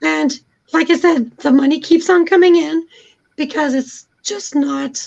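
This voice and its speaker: A woman speaks at a fairly slow pace in a squeaky, high voice. Her pitch variation is ordinary. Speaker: YouTuber and cancer survivor. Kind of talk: casual chat.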